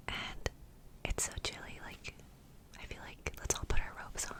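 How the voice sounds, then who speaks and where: The speaker is whispering. Noticeable background noise runs underneath. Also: woman. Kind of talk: ASMR whispered ramble, casual talk to camera. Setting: close to microphone in home studio. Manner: soft whispered, rambly, cozy.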